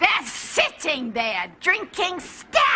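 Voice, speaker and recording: The pitch sits extremely high. It belongs to a put-on character voice. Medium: short film. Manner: catty, indignant.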